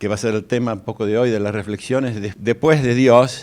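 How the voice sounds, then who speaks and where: A man with a Rioplatense accent and ordinary pitch variation. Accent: Argentine Rioplatense Spanish. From Argentina, Buenos Aires. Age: 60s. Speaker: guest lecturer. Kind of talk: lecture. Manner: halting.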